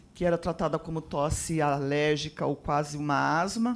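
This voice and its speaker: Very deep, low pitch from a woman speaking at a fairly slow pace. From interior of São Paulo state, Brazil. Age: 60s. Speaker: audience member, possible patient. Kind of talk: question from audience. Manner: halting, hesitant.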